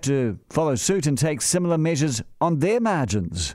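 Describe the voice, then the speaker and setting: A man's fairly high voice with lively intonation, in a New Zealand accent, on a very clean recording with a silent background. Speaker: radio host. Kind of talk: opinion monologue.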